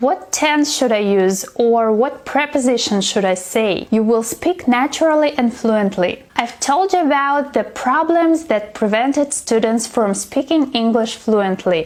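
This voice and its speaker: Over noticeable background noise, a woman with a non-native accent speaks at a fairly slow pace in a high pitch, with lively intonation, very even loudness and hardly any pauses. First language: not English. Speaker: English teacher. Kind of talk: tutorial.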